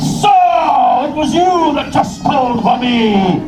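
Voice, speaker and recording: A put-on character voice with fairly high pitch at a fairly slow pace, with slight echo and loud background noise. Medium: stage play.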